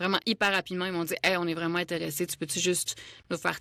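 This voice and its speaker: A woman speaks with a fairly low pitch and a bright, sharp tone. Her intonation is monotone and flat, with vocal fry. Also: dry, close sound with no echo, very clean recording, silent background. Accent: Quebec. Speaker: voice actor. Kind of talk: casual interview chat.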